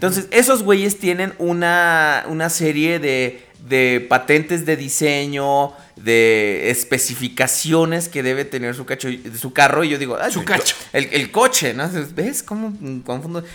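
A man with an unremarkable speaking voice talks fairly slowly in a fairly high pitch with lively intonation. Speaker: podcast host. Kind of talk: casual chat. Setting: live internet radio broadcast.

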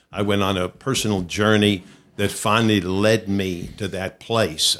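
A monotone, flat delivery at a moderate pace comes through on a very clean recording with a silent background. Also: man. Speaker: pastor and speaker. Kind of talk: interview.

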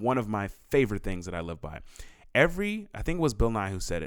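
The recording is very clean, with a silent background. A man speaks very fast. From San Diego. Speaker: podcast co-host, musician. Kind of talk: casual chat. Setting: home studio.

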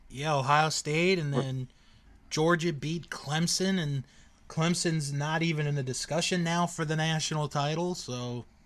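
Over a quiet background, a man speaks in an unremarkable speaking voice at a fairly slow pace, with fairly high pitch, fairly even intonation and big swings in loudness. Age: 30s. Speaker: sports podcast co-host. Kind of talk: casual chat.

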